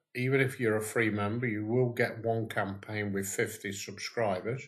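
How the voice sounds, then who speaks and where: Somewhat breathy and monotone, a man with a fairly low pitch talks at a moderate pace with flat intonation. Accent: British. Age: 70s. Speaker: online business owner. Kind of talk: screen-share tutorial. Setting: at home, wife beside him. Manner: casual, with fillers.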